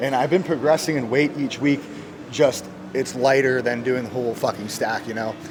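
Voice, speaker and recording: Medium pitch from a man, fairly even intonation, noticeable background noise and audible room echo. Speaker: fitness vlogger. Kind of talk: casual gym vlog. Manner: fast; stutters over words.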